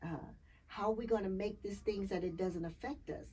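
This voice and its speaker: Her voice is medium-pitched and somewhat breathy, and this woman speaks in an animated tone with ordinary pitch variation. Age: 60s. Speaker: clean energy advocate. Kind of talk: casual interview.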